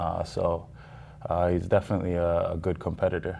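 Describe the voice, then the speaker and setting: The background is quiet. A man talks in a very deep, low voice with a dark, mellow tone. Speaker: kickboxer. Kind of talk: casual interview. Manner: halting, many fillers.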